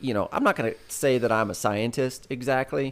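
A man speaks with a Southern accent. The recording is very clean, with a silent background. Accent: sounds Southern. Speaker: podcast co-host. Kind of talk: casual chat.

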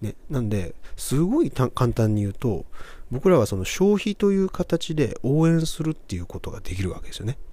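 Somewhat breathy with a dark, mellow tone, a man speaks at a fairly high pitch. He moves at a moderate pace with very wide pitch swings. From Japan, Kobe. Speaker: podcast host. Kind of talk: motivational monologue.

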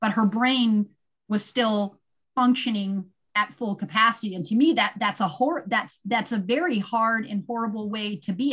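This is a plain, everyday voice with an American accent. It moves at a moderate pace with ordinary pitch variation. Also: woman. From California, Santa Cruz. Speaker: endurance athlete and blogger. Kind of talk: casual interview chat.

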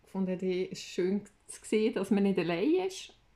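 A woman in a Swiss accent speaks at a fairly slow pace, her medium pitch showing ordinary variation. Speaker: podcast co-host. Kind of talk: casual chat. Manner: animated.

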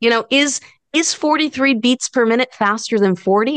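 This is an ordinary speaking voice with lively intonation at a moderate pace. The sound is dry and close, with no echo. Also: woman. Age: 40s. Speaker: guitar instructor and entrepreneur. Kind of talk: interview conversation. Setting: video call.

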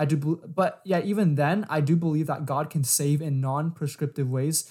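Somewhat breathy, a man with an American accent speaks at a fairly high pitch with fairly even intonation on a very clean recording with a silent background. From San Diego, California. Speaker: podcast co-host, college student. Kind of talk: casual religious discussion.

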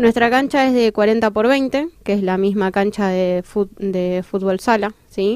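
Heard on a very clean recording with a silent background, a woman speaks at a medium pitch. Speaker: blind football player and psychologist. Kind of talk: interview. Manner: halting.

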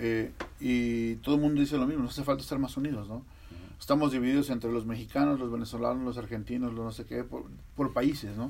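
A medium-pitched man at a very fast pace, his intonation fairly even. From Mexico, Veracruz. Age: 40s. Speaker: podcast host. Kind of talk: casual interview.

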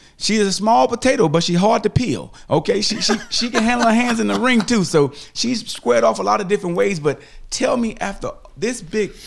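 In a very clean recording with a silent background, a man talks at a moderate pace with very wide pitch swings. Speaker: podcast host. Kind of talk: casual interview.

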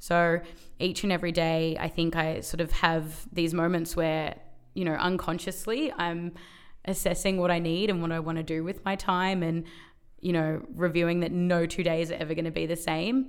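Speaking in an Australian accent, a woman uses a fairly low pitch, fairly even intonation and a moderate pace. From Melbourne, Australia. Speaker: workplace wellbeing advocate. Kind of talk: interview.

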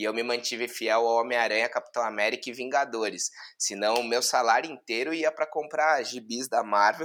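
A man with an unremarkable speaking voice talks at a fairly quick pace with hardly any pauses. His pitch is medium and varies in an ordinary way. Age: 30s. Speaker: digital marketing executive. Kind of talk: casual chat.

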